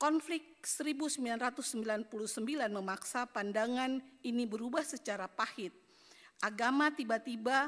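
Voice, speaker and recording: This woman has a plain, everyday voice, pitched fairly high, with ordinary pitch variation. She talks at a moderate pace in a very clean recording with a silent background. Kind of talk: conference speech, read prepared text.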